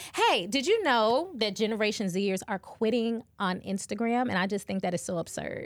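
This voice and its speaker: A woman with an ordinary speaking voice, fairly high in pitch, with ordinary pitch variation, a moderate pace and hardly any pauses. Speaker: podcast host. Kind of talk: casual chat.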